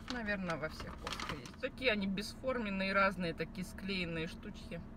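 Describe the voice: A woman talks at a moderate pace over clear background noise. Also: medium pitch for a woman, ordinary pitch variation.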